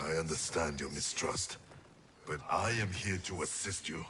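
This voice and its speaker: Over clear background noise, a man does a put-on character voice at a very deep, low pitch and a moderate pace. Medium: video game. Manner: terse, solemn.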